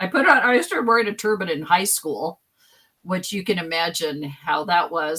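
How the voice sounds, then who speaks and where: Here is a woman with an ordinary speaking voice. Her pitch is fairly low and her intonation lively. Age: 60s. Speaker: guest. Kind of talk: casual chat.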